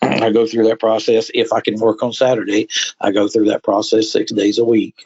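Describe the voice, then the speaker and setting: A man's fairly low voice with an American accent, at a moderate pace, in monotone, flat intonation. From Florida. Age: 60s. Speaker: truck driver. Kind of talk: interview.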